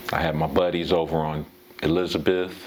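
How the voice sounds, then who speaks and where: Amid noticeable background noise, a man with a very deep, low pitch speaks at a fairly slow pace in a flat monotone. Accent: American. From US West, Pasadena, California. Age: 60s. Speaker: former baseball player. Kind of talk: interview. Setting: at his home. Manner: halting, with many fillers.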